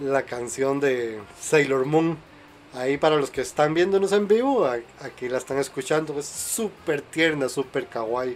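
Delivery is fairly slow, and the pitch varies in an ordinary way. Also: man. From Costa Rica. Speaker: podcast host. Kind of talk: casual chat. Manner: animated.

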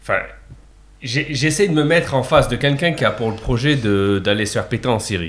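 A man talks at a fairly quick pace and medium pitch with lively intonation. He has an ordinary speaking voice. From France, Montpellier. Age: 30s. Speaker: engineer and guest co-host. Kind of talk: casual discussion.

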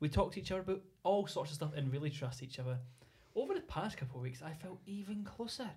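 A very fast, lively man's voice, fairly high in pitch, in a Scottish accent. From Scotland. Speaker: podcast host. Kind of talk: casual chat.

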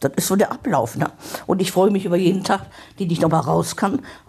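Noticeable background noise runs under this recording. A woman speaks at a fairly low pitch. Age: 70s. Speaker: hospice patient. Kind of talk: interview.

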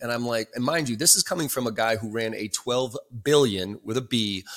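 A man's bright, sharp voice at a fairly quick pace with ordinary pitch variation. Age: 40s. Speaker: sales trainer and author. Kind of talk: casual interview.

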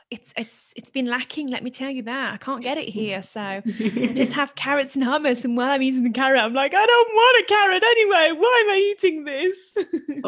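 A woman's high-pitched voice in a British accent, with very wide pitch swings at a moderate pace over noticeable background noise. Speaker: podcast co-host. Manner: casual, chatty.

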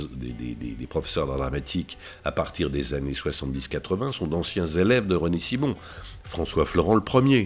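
The pitch of this man's voice swings very widely. Vocal fry runs through his speech. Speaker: voice actor. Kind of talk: interview.

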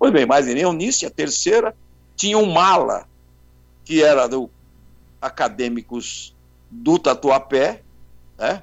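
A man's fairly high voice at a very slow pace, with very wide pitch swings and long, frequent pauses. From São Paulo, Brazil. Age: 70s. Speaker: carnival bandleader and journalist. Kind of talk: interview.

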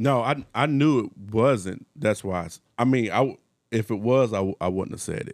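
Speaking at a moderate pace in an ordinary speaking voice, a man with a medium pitch uses ordinary pitch variation and big swings in loudness. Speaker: podcast co-host. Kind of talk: casual chat.

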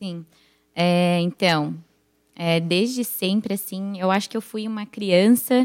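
Recorded very cleanly against a silent background, with a dry, close sound and no echo, a woman speaks at a very slow pace with fairly even intonation. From United States (Brazilian family). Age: 20s. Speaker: church member, young mother. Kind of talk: casual chat.

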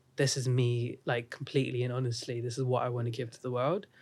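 A man with an American accent, medium pitch, and a fairly quick pace on a very clean recording with a silent background. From India (Bangalore). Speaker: musician. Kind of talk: casual chat. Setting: studio. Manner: casual, uses filler words.

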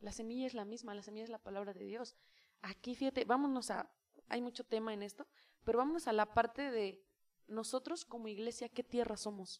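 A woman speaks at a fairly quick pace and a fairly high pitch, with fairly even intonation and big swings in loudness. The sound is dry and close, with no echo. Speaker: youth leader and preacher. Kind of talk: casual chat. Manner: intense when preaching.

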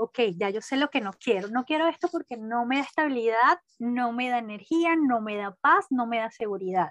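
In a Caracas accent, a woman with a high pitch speaks with lively intonation against a quiet background. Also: dry, close sound with no echo. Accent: Venezuelan Spanish (Caracas). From Venezuela (Caracas). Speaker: business administrator. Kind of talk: interview.

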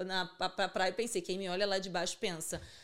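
A woman with a normal speaking voice, medium pitch and a fairly quick pace, on a very clean recording with a silent background. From Rio de Janeiro suburbs (Bangu). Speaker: hair extension entrepreneur. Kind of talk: casual chat.

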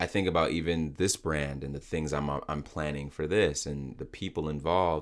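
A man's very deep, low voice with fairly even intonation and hardly any pauses, on a very clean recording with a silent background. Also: moderate pace. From Nigerian background. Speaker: podcast host. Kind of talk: casual interview.

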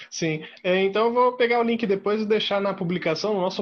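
A man talks at a moderate pace. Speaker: podcast host. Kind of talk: casual interview.

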